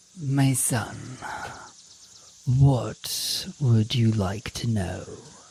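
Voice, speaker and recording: A man puts on a character voice at medium pitch and speaks very slowly. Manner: calm, pastoral.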